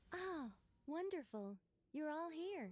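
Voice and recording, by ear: A woman performs a put-on character voice. It sits high in pitch.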